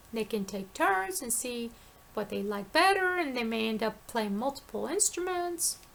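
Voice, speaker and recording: Noticeable background noise sits behind a woman speaking at a fairly high pitch. She goes fairly slowly, with lively intonation. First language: not English (was an ESL student). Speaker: video blogger. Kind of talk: casual monologue. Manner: rambling with repetitions and restarts.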